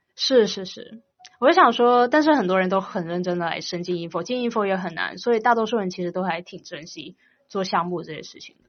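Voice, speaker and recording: Her loudness swings widely as a woman of medium pitch talks at a fairly quick pace with lively intonation. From China, Guangdong. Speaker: university student. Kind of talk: casual interview.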